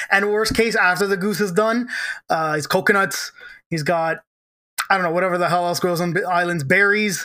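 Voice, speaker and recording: Moderate pace from a man, his voice raised and projected, the tone bright and sharp. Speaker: podcast host. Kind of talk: casual banter, comedy podcast.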